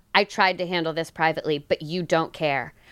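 Speaking at a fairly quick pace, a woman with an American accent has an unremarkable speaking voice. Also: very clean recording, silent background. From New Jersey, Italian American. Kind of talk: casual comedic chat.

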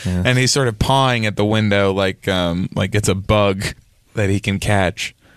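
An unremarkable speaking voice from a man, fairly low in pitch, with fairly even intonation, very even loudness and a moderate pace against a quiet background. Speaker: comedy podcast host. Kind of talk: comedic improv chat.

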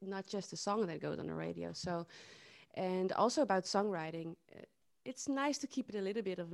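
On a very clean recording with a silent background and a dry, close sound with no echo, a woman with a Dutch accent speaks at a moderate pace in a medium pitch. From southern Netherlands. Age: 30s. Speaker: singer-songwriter. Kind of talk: interview. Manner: halting.

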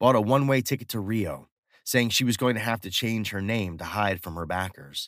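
With an ordinary speaking voice, a man speaks at a moderate pace and ordinary pitch variation. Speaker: story narrator. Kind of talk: dramatic first-person horror narration. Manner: grim, confessional storytelling.

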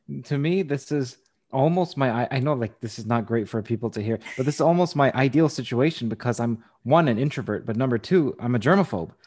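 A man with an unremarkable speaking voice talks at a fairly quick pace, his medium pitch showing ordinary variation. The background is quiet. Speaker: podcast host interviewer. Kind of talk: interview with sponsor read.

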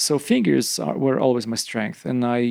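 Using a medium pitch and ordinary pitch variation, a man with a Polish accent speaks at a moderate pace. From eastern Poland. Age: 50s. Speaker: rock climber. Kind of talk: casual chat. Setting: at home after dinner.

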